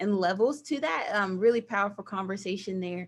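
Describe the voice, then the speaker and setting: A woman speaks with a Southern US accent. Her pitch sits in the medium range. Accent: Southern twang. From US South, small towns Georgia/Virginia. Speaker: nonprofit director of operations. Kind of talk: guest talk with slides. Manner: animated.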